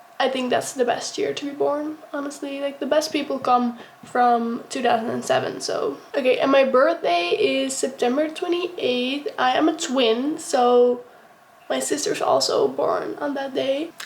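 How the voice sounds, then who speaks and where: A woman with a Dutch accent speaks at a fairly slow pace in a high voice. Her intonation is lively, and there is noticeable background noise. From Netherlands. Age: young. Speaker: vlogger, college student. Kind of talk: casual get-ready-with-me vlog. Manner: casual, with many fillers.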